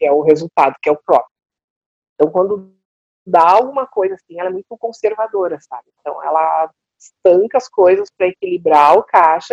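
An unremarkable speaking voice from a woman, medium in pitch, with lively intonation, a moderate pace, and a dry, close sound with no echo. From southern Brazil, Porto Alegre. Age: 50s. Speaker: coach. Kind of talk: casual interview chat.

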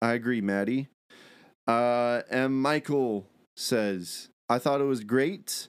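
Speech comes at a very slow pace with long, frequent pauses, ordinary pitch variation and very even loudness. The recording is very clean, with a silent background. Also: man, medium pitch for a man. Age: 20s. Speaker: film podcast host. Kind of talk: casual chat.

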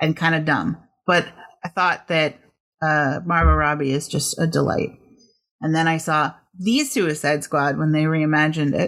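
In a very clean recording with a silent background, a woman speaks at a moderate pace with a very deep, low pitch. Her loudness stays very even, her pitch variation is ordinary, and she takes long, frequent pauses. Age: 40s. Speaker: podcast co-host. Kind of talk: topic presentation; casual chat.

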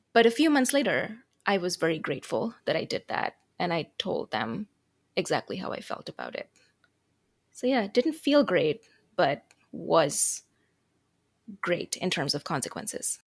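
With an Americanized Indian accent, a woman speaks at a moderate pace and medium pitch, with very wide pitch swings, vocal fry and long, frequent pauses, the sound dry and close with no echo on a very clean recording with a silent background. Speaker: international student. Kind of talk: moderated discussion.

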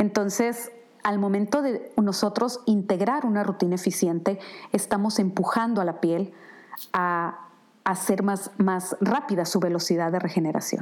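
In a normal speaking voice, a woman talks at a fairly slow pace with very even loudness. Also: medium pitch for a woman, ordinary pitch variation. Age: 50s. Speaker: skincare brand founder. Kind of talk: product presentation monologue.

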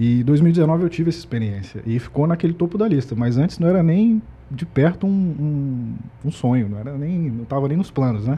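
Speaking in an unremarkable speaking voice, a man delivers his words at a moderate pace, with a fairly high pitch and lively intonation. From Espírito Santo, Brazil. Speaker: logistics employee. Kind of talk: casual chat.

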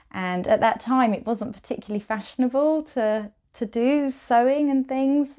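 In a southern English accent, a woman with a dark, mellow tone speaks at a moderate pace with ordinary pitch variation on a very clean recording with a silent background. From Kent, southeast England. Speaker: quilt designer. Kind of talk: interview. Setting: her studio, in person.

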